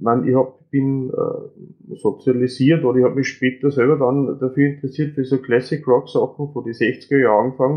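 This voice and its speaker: A fairly high-pitched man with an Austrian accent, fairly quick and fairly even in intonation. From Upper Austria. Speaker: podcast guest. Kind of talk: casual chat.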